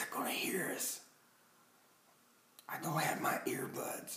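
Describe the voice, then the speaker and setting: A man is whispering. He goes at a very slow pace. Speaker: vlogger acting out a story. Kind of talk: hushed playful roleplay vlog. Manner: hushed, urgent low voice. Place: home room. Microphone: phone near.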